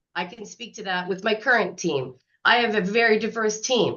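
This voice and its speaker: The woman speaks at a moderate pace with ordinary pitch variation. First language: not English (English is third language). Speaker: workshop presenter, university housing staff. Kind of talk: workshop presentation. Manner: casual, many fillers.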